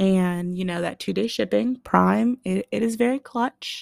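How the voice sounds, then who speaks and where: An American accent comes through on a very clean recording with a silent background and a dry, close sound with no echo. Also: woman. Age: 20s. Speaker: podcast host. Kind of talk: casual solo monologue. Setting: home podcast mic. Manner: animated, conversational.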